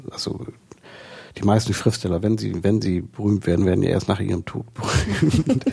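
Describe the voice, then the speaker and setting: The speaker talks at a moderate pace with ordinary pitch variation while noticeable background noise runs underneath. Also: man, fairly low pitch for a man. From northern Germany, Lower Saxony coast. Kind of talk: interview. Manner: halting.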